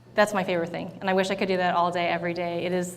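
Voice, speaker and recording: A woman's fairly low, monotone voice with flat intonation and a General American accent, with audible room echo. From US West Coast, San Diego California. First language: Thai. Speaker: tech company startup program leader. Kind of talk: onstage interview. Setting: stage with audience.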